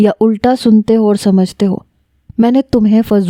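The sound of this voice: In an unforced reading voice, the speaker keeps a fairly even intonation over a quiet background.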